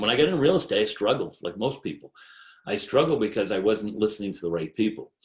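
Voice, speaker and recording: Very fast, lively speech with an American accent. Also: man, fairly low pitch for a man. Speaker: real estate agent. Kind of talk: sales presentation.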